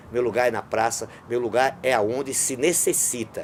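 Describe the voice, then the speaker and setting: A man talks at a moderate pace. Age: 60s. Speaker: street clown. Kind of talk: interview storytelling.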